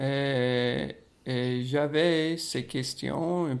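A man speaks with an American accent in a fairly high voice. His pitch moves in an ordinary way, and the recording is very clean with a silent background. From United States. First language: English (speaking French). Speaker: podcast host. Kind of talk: casual chat.

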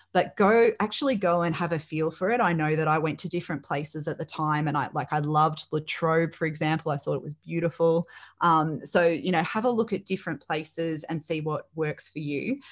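On a very clean recording with a silent background, a woman with a fairly low voice talks at a fairly quick pace with hardly any pauses and ordinary pitch variation. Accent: Australian. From Australia, Melbourne northwest. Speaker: teacher and careers practitioner. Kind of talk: interview.

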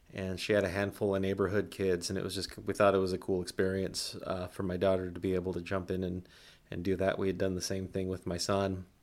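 Very fast and very deep, a man's voice comes through at a low pitch. The recording is very clean, the background silent. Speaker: podcast host. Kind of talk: personal storytelling. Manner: flat, not lively.

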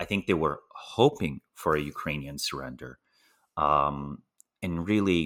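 Lively intonation and vocal fry come through on a very clean recording with a silent background. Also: man. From Slovenia. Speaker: political risk analyst. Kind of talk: interview.

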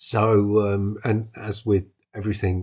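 Against a quiet background, a man with a British accent speaks in a fairly low, somewhat breathy voice. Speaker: solo tabletop RPG podcast host. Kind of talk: casual solo monologue. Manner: halting, with ums and false starts.

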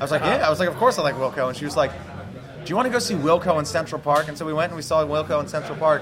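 A man talks at a very fast pace with ordinary pitch variation, over noticeable background noise and with audible room echo. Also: fairly high pitch for a man. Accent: American. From New Jersey. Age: 20s. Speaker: rock band musician. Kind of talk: casual interview chat.

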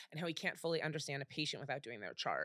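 The recording is very clean, with a silent background. The sound is dry and close, with no echo. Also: woman. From US Midwest, Cleveland. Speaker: celebrity chef. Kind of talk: casual chat.

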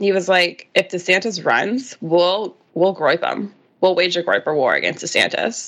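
Here is an unremarkable speaking voice. The pace is moderate. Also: woman, medium pitch for a woman, ordinary pitch variation. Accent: American. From Washington DC area. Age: 30s. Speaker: journalist. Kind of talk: casual interview.

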